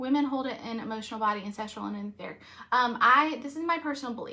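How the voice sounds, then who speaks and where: A woman speaks at a very fast pace with a high pitch, a bright, sharp, animated tone, ordinary pitch variation and big swings in loudness. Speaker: reiki master and energy healer. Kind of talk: live stream talk.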